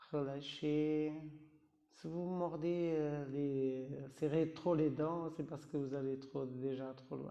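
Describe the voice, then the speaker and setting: Amid audible room echo, a man with a non-native accent and a fairly high pitch speaks at a very slow pace in a monotone, flat way. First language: not French (speaking French). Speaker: yoga teacher. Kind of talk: guided yoga class. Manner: halting, with hesitations; calm, instructive.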